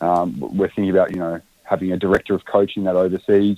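Sounding dry and close with no echo, a man with a fairly low pitch talks at a fairly quick pace. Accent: Australian. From Australia, Canberra. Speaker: footballer and playing coach. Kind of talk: interview. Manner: halting.

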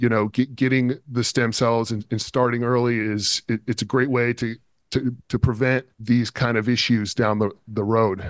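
Monotone, flat intonation in an American accent, at a moderate pace against a quiet background. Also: man, medium pitch for a man, dry, close sound with no echo. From San Diego, California. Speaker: stem cell clinic co-founder. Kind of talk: interview.

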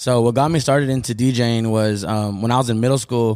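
On a very clean recording with a silent background, a man with a plain, everyday voice and an American accent talks at a fairly quick pace, at medium pitch, with fairly even intonation. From Tucson, Arizona (south side). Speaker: DJ and artist manager. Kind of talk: casual interview. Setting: on location at a restaurant.

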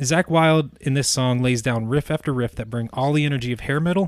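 Talking at a fairly quick pace, a man uses an ordinary speaking voice at medium pitch with ordinary pitch variation. The recording is very clean, with a silent background. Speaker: occasional podcast co-host, music fan. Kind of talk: casual chat.

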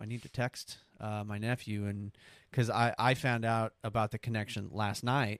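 At a moderate pace, the speaker uses an American accent in a very clean recording with a silent background and a dry, close sound with no echo. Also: man. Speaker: podcast host. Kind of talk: casual banter.

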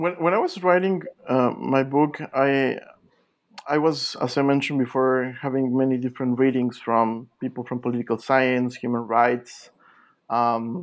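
A man speaks at a medium pitch in a Spanish accent. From Mexico. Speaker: literature scholar, author. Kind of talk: interview. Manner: halting, many repetitions.

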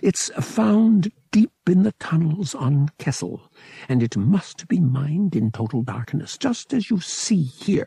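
A man puts on a character voice, fairly high-pitched, dark and mellow in tone, with a husky, rough edge and vocal fry. He speaks slowly, with big pitch swings. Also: dry, close sound with no echo.

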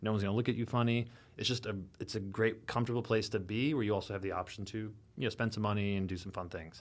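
A man with an American accent at a very fast pace, fairly low in pitch with fairly even intonation, on a very clean recording with a silent background. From US Midwest, rural Illinois. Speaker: sommelier and wine bar owner. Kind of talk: casual chat.

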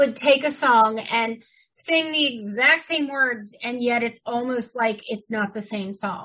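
At a fairly slow pace, a woman speaks in a bright, sharp tone. Her pitch is high, with ordinary pitch variation. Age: 50s. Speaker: podcast co-host. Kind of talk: casual chat. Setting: home studio.

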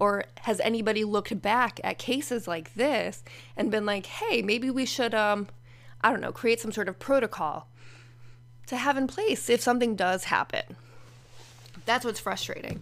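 With vocal fry and ordinary pitch variation, the speaker moves at a moderate pace, leaving long, frequent pauses. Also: woman, fairly high pitch for a woman. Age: 40s. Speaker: podcaster sharing personal therapy experiences. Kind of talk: personal monologue. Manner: casual, conversational with laughs.

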